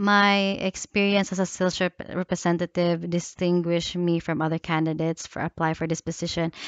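A woman's flat, monotone delivery at a moderate pace, dry with no echo, over a quiet background. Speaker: job applicant. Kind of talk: self-introduction video. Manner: halting. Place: home room. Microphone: headset.

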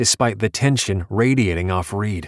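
The clip features an unforced reading voice. It carries through the whole recording.

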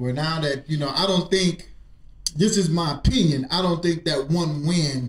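The man speaks at a moderate pace, with audible room echo around his voice. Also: ordinary pitch variation. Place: studio.

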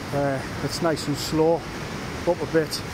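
Heard through loud background noise, a man's voice comes across dry with no echo. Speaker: paddle boarder vlogger. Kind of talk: casual vlog chat. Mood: cheerful, relaxed. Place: waterside. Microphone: phone near.

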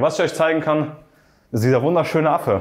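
Against a quiet backdrop, a man's speech races along very fast. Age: 20s. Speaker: agency owner and vlogger. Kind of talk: sales pitch; house tour vlog. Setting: outdoors by the sea. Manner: casual, animated. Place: home room. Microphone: lapel.

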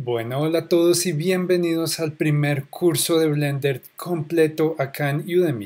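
With a Bogotá accent, a man talks fairly slowly, with fairly even intonation and hardly any pauses. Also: fairly high pitch for a man. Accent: Colombian Spanish (Bogotá). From Colombia, Bogotá. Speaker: online course instructor. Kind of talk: tutorial. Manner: casual.

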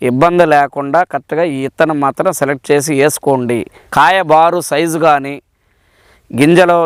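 This man has a plain, everyday voice with fairly high pitch and fairly even intonation, recorded very cleanly, dry and close with no echo against a silent background. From Palnadu district, Andhra Pradesh. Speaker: farmer. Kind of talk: testimonial.

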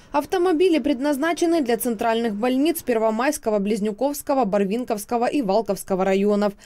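A woman with a dark, mellow tone and fairly high pitch, lively intonation, a fairly quick pace, hardly any pauses and very even loudness. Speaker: news reporter. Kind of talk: news reporting voice-over.

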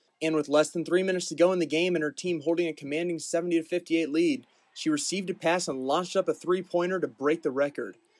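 A man with a high voice talks very fast, with hardly any pauses and a fairly even intonation. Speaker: student sports reporter. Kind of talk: news reading.

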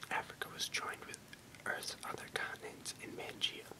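The speaker, a man, talks in a whisper. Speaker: reader of encyclopedia text. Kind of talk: reading aloud. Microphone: webcam.

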